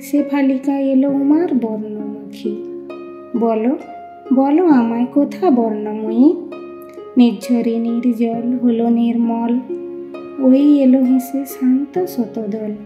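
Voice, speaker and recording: A woman's soothing, fairly high-pitched voice over background music. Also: ordinary pitch variation. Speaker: poetry reciter. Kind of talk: poetry reading. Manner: rhythmic, soothing.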